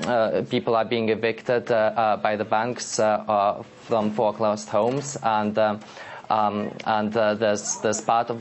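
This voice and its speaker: A man talks at a moderate pace and medium pitch in a monotone, flat intonation. Noticeable background noise runs behind him. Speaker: blogger. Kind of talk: live TV interview answer. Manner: hesitant, stammering with many pauses.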